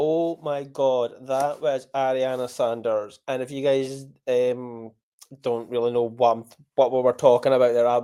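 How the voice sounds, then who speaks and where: In a strong Scottish accent, a man speaks at a fairly slow pace with a medium pitch, a dark, mellow tone and monotone, flat intonation. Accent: Scottish accent, strong local dialect. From Scotland. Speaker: podcast host. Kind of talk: casual chat; interview. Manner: enunciating carefully.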